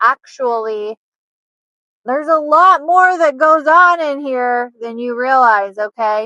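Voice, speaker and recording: A woman with a high pitch and a bright, sharp tone projects her raised voice at a very slow pace, in a dry, close sound with no echo. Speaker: nurse and lifestyle vlogger. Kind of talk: casual vlog monologue. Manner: animated, many fillers like 'like'. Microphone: poor audio quality.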